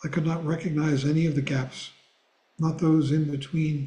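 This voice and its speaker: A man speaks at a fairly high pitch in a somewhat breathy voice with a dark, mellow tone. His intonation is monotone and flat. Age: 80s+. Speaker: Buddhist teacher. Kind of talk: reading aloud; class discussion.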